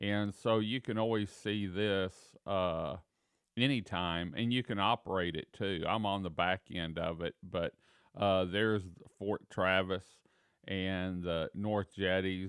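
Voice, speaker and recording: A man's very deep, low voice, relaxed in tone and fairly even in intonation. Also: fairly slow pace. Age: 60s. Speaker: local tourism show host. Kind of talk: casual live show chat. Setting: office, live stream. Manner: relaxed, filler-heavy.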